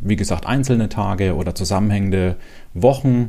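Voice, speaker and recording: With audible room echo around him, a man speaks in a fairly low voice with a dark, mellow tone. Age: 40s. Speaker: podcast host sharing personal depression story. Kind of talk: personal testimony monologue.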